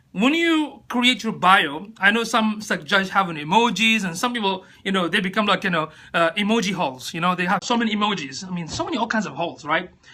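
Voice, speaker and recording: A man's raised, projected voice with a non-native accent, high in pitch and bright and sharp in tone, with very wide pitch swings at a fairly quick pace. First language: not English. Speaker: social media coach. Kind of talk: live stream talk. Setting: live video stream on phone. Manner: casual, hesitant with fillers.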